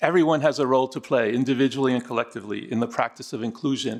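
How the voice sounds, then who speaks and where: A man speaks at a medium pitch with fairly even intonation. His pace is very fast. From Argentina, raised in the US from 1966. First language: Spanish. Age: 60s. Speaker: DEI consultant. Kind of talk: formal presentation. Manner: formal.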